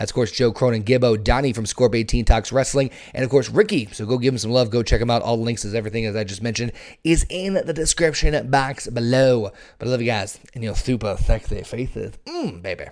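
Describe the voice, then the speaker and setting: A man talks at a fairly quick pace in an unremarkable speaking voice, with medium pitch and ordinary pitch variation. The background is quiet. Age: 30s. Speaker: wrestling podcast host. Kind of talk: casual chat.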